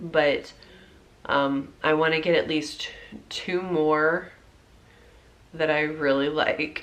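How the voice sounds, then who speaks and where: This woman's voice sits fairly low in pitch. She speaks at a very slow pace. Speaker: pregnant vlogger. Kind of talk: casual talk to camera.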